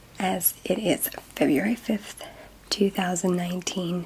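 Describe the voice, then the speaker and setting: Very slow speech from a woman amid noticeable background noise. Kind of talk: ASMR soft-spoken fun-facts talk to camera.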